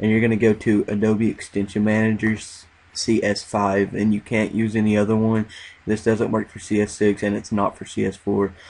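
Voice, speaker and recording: A fairly low male voice at a moderate pace, flat and monotone, against a quiet background. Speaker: YouTube tutorial maker. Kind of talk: screen-recording tutorial. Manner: casual, with many filler words.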